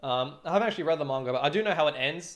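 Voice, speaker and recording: Talking at a fairly quick pace, a man with an Australian accent uses lively intonation. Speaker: streamer, drummer. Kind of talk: casual livestream chat. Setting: livestream. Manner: fast.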